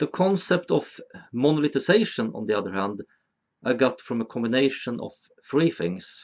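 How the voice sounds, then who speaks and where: Speaking at a moderate pace in a Swedish accent, a man with a medium pitch makes very wide pitch swings. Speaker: video essayist. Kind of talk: educational monologue.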